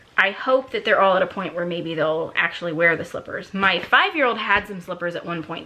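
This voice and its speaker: A woman talks at a fairly quick pace with lively intonation. Noticeable background noise can be heard. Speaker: lifestyle vlogger. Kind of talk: casual haul video monologue. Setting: at home at night while kids sleep.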